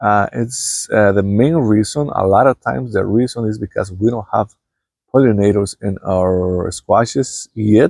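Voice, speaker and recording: Over a quiet background with a dry, close sound and no echo, a man with a non-native accent speaks at a fairly low pitch with ordinary pitch variation. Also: fairly slow pace. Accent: non-native English, self-noted. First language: Spanish. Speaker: gardening youtuber. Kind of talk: tutorial. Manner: halting, many fillers.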